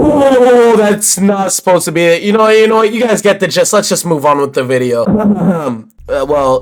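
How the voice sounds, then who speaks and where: The voice makes very wide pitch swings. Noticeable background noise runs underneath. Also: man, high pitch for a man, moderate pace. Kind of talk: casual video essay commentary.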